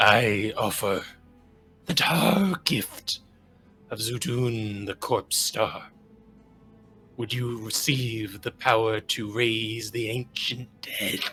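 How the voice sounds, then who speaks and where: Over faint background music, a man in a put-on character voice speaks very slowly at a medium pitch, raspy and hoarse, with long, frequent pauses. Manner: eerie, tempting, ominous.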